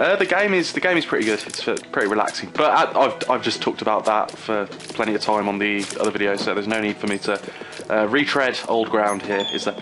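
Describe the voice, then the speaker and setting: Over music in the background, a man with an English accent talks very fast in a fairly low voice with lively intonation. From England. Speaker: gaming youtuber. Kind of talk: let's play commentary. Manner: animated.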